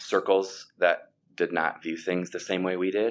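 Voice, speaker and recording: With an Upper Midwest accent, a man speaks at a moderate pace in a very deep, low pitch. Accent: Upper Midwest American. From US Midwest (Sioux Falls, South Dakota). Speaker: former pastor and worship leader, mortgage banker. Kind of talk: interview.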